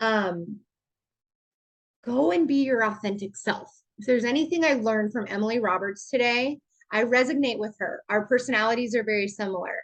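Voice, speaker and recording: At a moderate pace and with ordinary pitch variation, the voice comes through over a quiet background. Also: woman. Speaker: network marketing ambassador. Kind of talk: online team training call. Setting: video call. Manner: animated.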